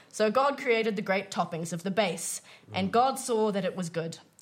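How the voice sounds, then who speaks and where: A woman speaks at a moderate pace with lively intonation, and there is noticeable background noise. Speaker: microbiologist and improviser. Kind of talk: comedy quiz show, casual banter.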